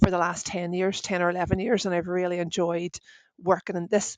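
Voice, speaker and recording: With a Northern Irish accent, a woman talks at a fairly quick pace in a fairly low, monotone, flat voice, recorded dry and close with no echo. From Northern Ireland. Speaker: IT service operations director. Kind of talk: podcast interview. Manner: casual, chatty.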